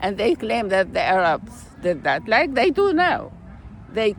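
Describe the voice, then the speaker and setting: The speaker, a woman, takes a fairly slow pace. Noise in the background can be clearly noticed. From Iraq. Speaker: peace activist, author and poet. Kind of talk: interview answer.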